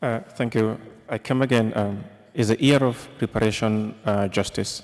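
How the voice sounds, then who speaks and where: A man speaks at a moderate pace in an unremarkable speaking voice. His pitch is medium and his intonation fairly even. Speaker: journalist. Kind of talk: press conference question.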